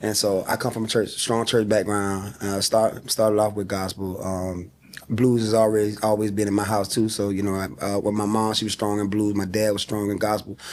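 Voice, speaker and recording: Over noticeable background noise, a man speaks in a Southern US accent. His pitch is fairly low and his intonation monotone and flat. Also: moderate pace. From South Carolina, small town. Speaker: singer. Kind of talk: interview.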